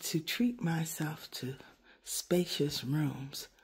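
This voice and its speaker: At a very slow pace, a woman talks in a dark, mellow tone that is somewhat breathy. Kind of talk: casual vlog chat. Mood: relaxed, pleased. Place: home room. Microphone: phone near.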